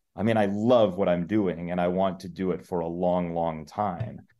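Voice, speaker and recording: A man with a very deep, low pitch. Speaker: sports play-by-play announcer. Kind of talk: interview conversation.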